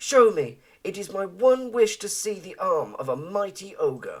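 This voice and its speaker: At a moderate pace, the speaker uses a put-on character voice with a fairly high pitch. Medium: read story.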